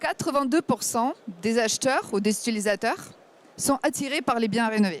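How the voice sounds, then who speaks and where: A woman with a Ukrainian accent, fairly high-pitched, with lively intonation, very even loudness and a moderate pace, in a dry, close sound with no echo. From Ukraine. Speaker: startup founder. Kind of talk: startup pitch.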